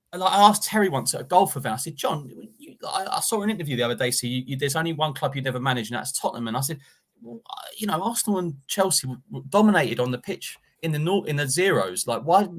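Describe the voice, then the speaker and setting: A man talks at a very fast pace with a London accent, his voice fairly high in pitch. His intonation is lively and his loudness swings widely. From Enfield, North London. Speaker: football pundit. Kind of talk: casual chat. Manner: animated.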